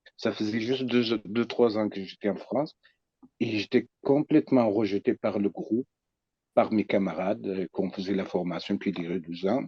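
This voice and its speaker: This man has a fairly low pitch and a dark, mellow tone, speaking at a moderate pace with ordinary pitch variation. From Iraqi Kurdistan. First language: Kurdish (speaking French). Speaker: psychoanalyst. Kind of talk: personal testimony. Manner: halting.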